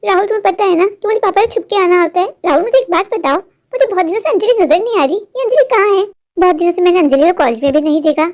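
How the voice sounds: A female-sounding cartoonish character voice, pitched extremely high. The pace is very fast.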